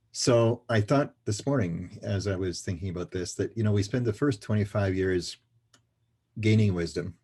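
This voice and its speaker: Over a quiet background, a man's somewhat breathy voice carries a dark, mellow tone at a fairly low pitch. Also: ordinary pitch variation, moderate pace. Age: 70s. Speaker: financial services trainer and speaker. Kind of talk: interview.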